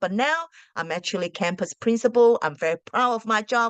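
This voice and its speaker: A woman speaks with a non-native accent and lively intonation. Her sound is dry and close, with no echo. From Australia, arrived at 13 from a non-English-speaking country. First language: not English. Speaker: school principal and teacher. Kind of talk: casual advice talk to camera. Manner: hesitant, with many fillers.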